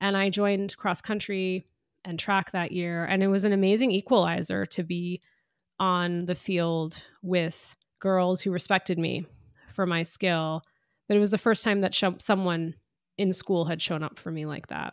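A woman with an unremarkable speaking voice talks at a medium pitch and moderate pace, her intonation fairly even. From US, Indian immigrant family. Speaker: author and diversity consultant. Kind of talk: interview.

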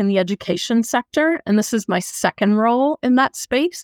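A woman with a normal speaking voice and an American accent talks at a moderate pace, her pitch fairly high with ordinary variation. The recording is very clean with a silent background and a dry, close sound with no echo. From United States. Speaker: product manager. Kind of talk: interview.

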